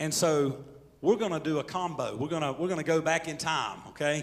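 Light noise sits behind a man who talks at a moderate pace. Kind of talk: casual announcement to congregation. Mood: warm, joking. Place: church. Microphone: handheld.

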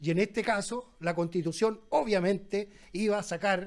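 A man at a high pitch with fairly even intonation and a fairly slow pace. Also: quiet background. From Chile, Valparaíso; Chile. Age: 60s. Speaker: former dock worker and union leader, debater; debater. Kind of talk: public debate. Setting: restaurant with live audience. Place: cafe. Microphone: handheld.

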